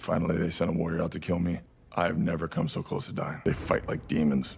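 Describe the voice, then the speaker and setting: A man does a raspy put-on character voice with a very deep, low pitch. He talks very fast with fairly even intonation. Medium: short film.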